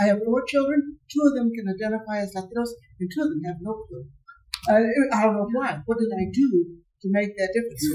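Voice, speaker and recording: Speaking at a very fast pace, a woman has a fairly high pitch, lively intonation, a dark, mellow tone and a somewhat breathy sound. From Southern Arizona, Mexican American. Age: 80s+. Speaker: audience member. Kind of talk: audience Q&A comment.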